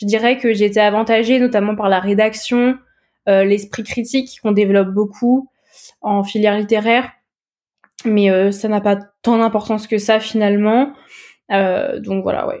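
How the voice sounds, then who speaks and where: A fairly high-pitched female voice, fairly slow and monotone, with flat intonation and long, frequent pauses. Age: 20s. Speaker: communication student. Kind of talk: interview testimony. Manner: hesitant, many fillers.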